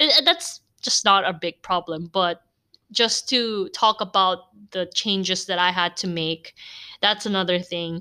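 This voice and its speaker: On a very clean recording with a silent background, a woman with an American accent speaks at medium pitch and a fairly slow pace, her tone animated, bright and sharp, with ordinary pitch variation. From Philippines (Cebu), Korean parents. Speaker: podcaster. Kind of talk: casual monologue. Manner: animated, laughs often.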